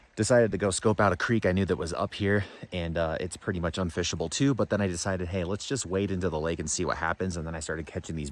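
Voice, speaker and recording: Very fast and very deep, this man's low voice moves with ordinary pitch variation. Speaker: fishing youtuber. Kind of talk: casual outdoor vlog. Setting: outdoors. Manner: animated.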